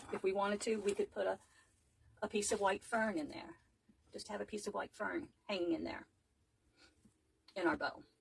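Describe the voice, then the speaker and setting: Lively in intonation, a woman with vocal fry talks at medium pitch and a fairly quick pace, leaving long, frequent pauses. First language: not English. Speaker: wreath maker, craft tutor. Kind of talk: live craft tutorial. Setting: livestream, home craft table.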